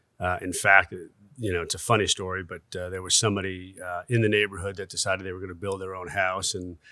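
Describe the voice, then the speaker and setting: This man's very deep, low voice has a bright, sharp tone and a northern US accent, delivered very fast in a flat monotone with big swings in loudness on a very clean recording with a silent background. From US Northeast, Westchester New York. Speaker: construction executive. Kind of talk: podcast interview. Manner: hesitant, many fillers.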